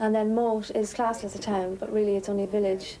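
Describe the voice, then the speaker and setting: A woman with an Irish Midlands accent talks at a medium pitch. Her pace is very fast, with noticeable background noise. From Ireland, County Westmeath. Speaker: interviewee. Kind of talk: documentary interview.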